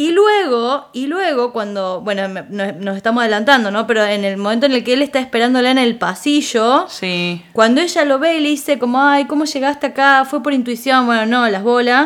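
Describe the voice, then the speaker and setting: Her pitch is high and her intonation lively as this woman speaks. She keeps a moderate pace with hardly any pauses. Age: 40. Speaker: psychologist. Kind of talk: casual chat.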